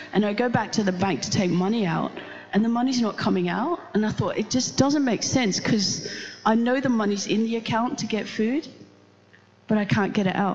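Noticeable background noise sits behind a woman speaking at a fairly quick pace. Her fairly high pitch shows ordinary variation and an animated tone. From Netherlands. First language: Dutch. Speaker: pastor. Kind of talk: sermon. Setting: church.

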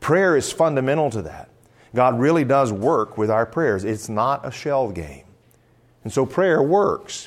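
A man with an unremarkable speaking voice, medium pitch, lively intonation and a fairly slow pace. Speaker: conference speaker, pastor. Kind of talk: sermon-style teaching talk; audience Q&A. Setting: stage with live audience.

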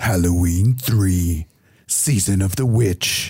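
A put-on character voice, low in pitch, comes out at a very slow pace. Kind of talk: theatrical trailer narration.

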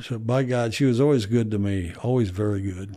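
In a very clean recording with a silent background, a man with a Midwestern American accent speaks at a fairly low pitch in a dark, mellow tone with ordinary pitch variation. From US Midwest. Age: 60s. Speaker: retired history professor and author. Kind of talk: casual interview.

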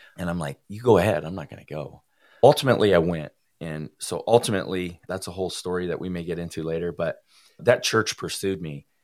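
A man's very deep, low voice with an American accent, very fast, with ordinary pitch variation and big swings in loudness, on a very clean recording with a silent background. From US Midwest, rural Iowa. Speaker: recovering addict, former prisoner. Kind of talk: testimony.

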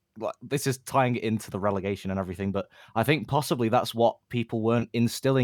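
A man with an ordinary speaking voice talks at a medium pitch with ordinary pitch variation. The recording is very clean and dry, with a silent background and a close sound with no echo. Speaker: football fan community member. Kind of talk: casual chat.

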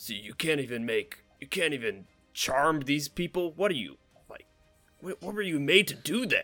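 A man's put-on character voice, guttural and fairly high-pitched, with very wide pitch swings, big swings in loudness and a fairly slow pace over faint background music. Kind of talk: ancient.

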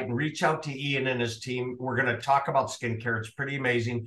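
A man talks with a Minnesota accent. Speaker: podcast host. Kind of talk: interview.

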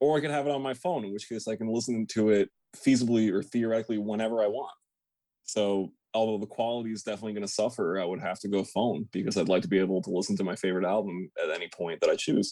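At a very fast pace, a man talks in a fairly low pitch with a dark, mellow tone and ordinary pitch variation. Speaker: metal musician. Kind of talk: casual interview chat. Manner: laid back.

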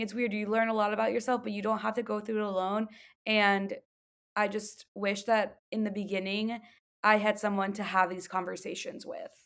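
In a normal speaking voice pitched fairly high, a woman talks at a moderate pace. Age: 20s. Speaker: wellness business co-owner and yoga coach. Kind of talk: casual interview chat.

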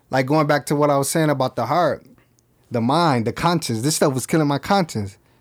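A man talks at a fairly quick pace in a plain, everyday voice, fairly high in pitch. His pitch varies in an ordinary way, and the recording is very clean with a silent background. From Flint, Michigan, US. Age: 30s. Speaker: clothing brand founder, former rapper. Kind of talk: casual interview. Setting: studio.

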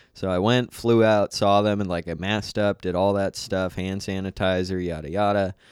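In a very clean recording with a silent background, a man with a fairly low pitch talks at a moderate pace in monotone, flat intonation, with hardly any pauses. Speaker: comedian. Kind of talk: casual chat.

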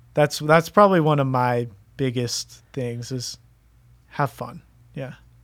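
In an American accent, a man speaks in a normal speaking voice at medium pitch. His pitch varies in an ordinary way while his loudness swings widely. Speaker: college student athlete. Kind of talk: casual interview. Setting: studio.

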